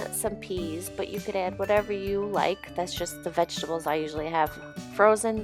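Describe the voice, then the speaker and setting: A woman's medium-pitched voice with ordinary pitch variation over music in the background. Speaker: vegan food vlogger. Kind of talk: casual voiceover narration.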